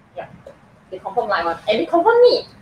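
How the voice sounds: Speaking at a fairly quick pace, a woman has a fairly high pitch, very wide pitch swings and a slightly husky edge.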